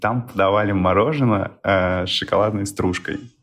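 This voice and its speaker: With music in the background, a man speaks at a fairly quick pace in a fairly low voice with ordinary pitch variation. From Elista, Kalmykia. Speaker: friend of host, Kalmykia native. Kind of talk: personal reminiscence.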